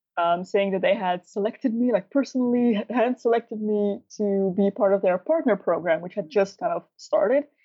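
Speaking with a Dutch accent, a woman uses a fairly high pitch and lively intonation at a moderate pace. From Netherlands. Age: 20s. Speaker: beauty YouTuber. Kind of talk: casual interview. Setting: remote call.

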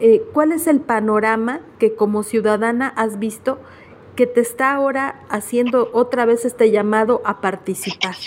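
Delivered at a fairly slow pace with fairly even intonation, this is an ordinary speaking voice. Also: woman, fairly high pitch for a woman. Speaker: radio news host. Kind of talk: radio interview and news.

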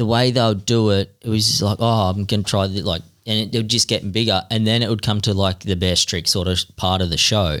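A man at a fairly low pitch with an Australian accent, moderate pace, very even loudness and fairly even intonation. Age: 30s. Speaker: freestyle motocross rider. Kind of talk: casual chat.

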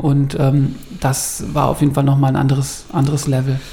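Noticeable background noise under a man with a fairly high pitch, speaking at a moderate pace. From Bavaria, Ingolstadt. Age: 30s. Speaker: press office editor and photographer. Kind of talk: casual chat.

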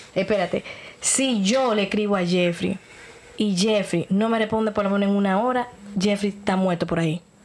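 Noticeable background noise sits behind a woman speaking at a moderate pace and medium pitch, with fairly even intonation and very even loudness. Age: 30s. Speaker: podcast host. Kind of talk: casual chat.

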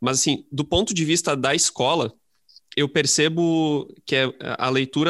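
A man with an ordinary speaking voice keeps a moderate pace and ordinary pitch variation, recorded very cleanly against a silent background. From interior of Rio Grande do Sul, Brazil. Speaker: high school literature teacher. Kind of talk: casual interview chat.

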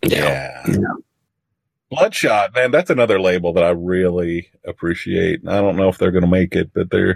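In a very deep, low voice with an American accent, a man speaks at a moderate pace with ordinary pitch variation and very even loudness, the sound dry and close with no echo. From Missouri. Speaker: podcast co-host. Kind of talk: casual chat.

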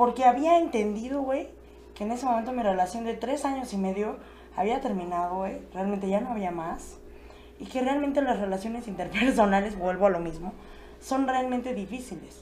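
Audible room echo surrounds a woman's fairly high voice with a dark, mellow tone. Her intonation is lively and her pace moderate. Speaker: podcast guest. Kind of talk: casual chat. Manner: animated.

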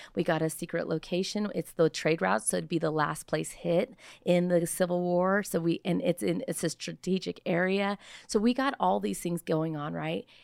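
Someone with an American accent speaks at a moderate pace with lively intonation. The sound is dry and close with no echo, on a very clean recording with a silent background. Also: woman. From California, US. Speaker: founder of a child rescue charity. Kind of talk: casual interview, personal testimony.

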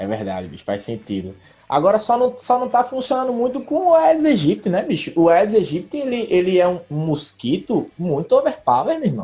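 The pace is moderate. There are hardly any pauses. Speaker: podcast host. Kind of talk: casual chat; podcast outro. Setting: remote internet call. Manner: animated.

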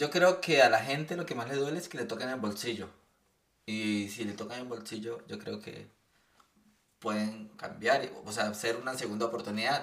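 A man speaks at a medium pitch and a moderate pace. Audible room echo surrounds his voice. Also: ordinary pitch variation, big swings in loudness. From Colombia, Bucaramanga. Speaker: podcast guest. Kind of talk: casual chat.

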